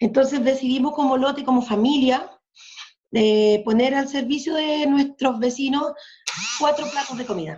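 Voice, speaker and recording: This woman's voice is high-pitched and her pace is fairly slow. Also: ordinary pitch variation. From southern Chile, Mapuche. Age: 50s. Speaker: community activist. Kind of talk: casual chat.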